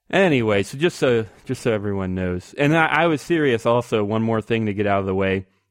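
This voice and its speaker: On a very clean recording with a silent background, a man talks in a plain, everyday voice at medium pitch. His pace is fairly quick, and the sound is dry and close with no echo. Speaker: podcast host. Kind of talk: casual banter podcast. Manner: joking, sarcastic.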